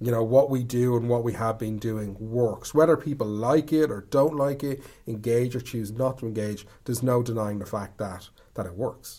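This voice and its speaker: This man's voice sits at a medium pitch, dark and mellow in tone, with ordinary pitch variation and an Irish accent. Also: moderate pace. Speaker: storyteller. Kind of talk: casual chat.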